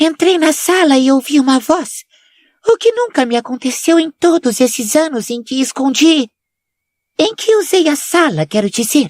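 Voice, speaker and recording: A woman puts on a shrill character voice, high in pitch with very wide swings, at a moderate pace. The sound is dry and close, with no echo. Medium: read story. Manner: mystical, affected, defensive.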